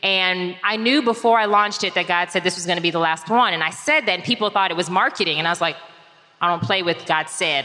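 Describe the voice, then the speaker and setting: A woman with a fairly low pitch talks at a very fast pace with ordinary pitch variation over noticeable background noise. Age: 40s. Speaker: reinvention strategist and author. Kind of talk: live talk before an audience. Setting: live event with audience.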